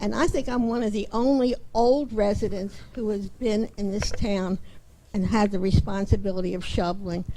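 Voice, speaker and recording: A woman talks at a moderate pace in a dark, mellow tone with ordinary pitch variation. Audible room echo surrounds her voice. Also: medium pitch for a woman. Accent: American. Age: 80s+. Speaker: resident speaking at public comment. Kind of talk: public comment at council meeting. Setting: town council meeting.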